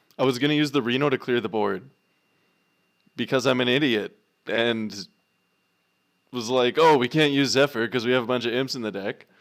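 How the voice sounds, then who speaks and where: Despite a fairly quick pace, the man leaves long, frequent pauses in a very clean recording with a silent background. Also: medium pitch for a man. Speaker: gaming streamer. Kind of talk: live gameplay commentary. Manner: animated.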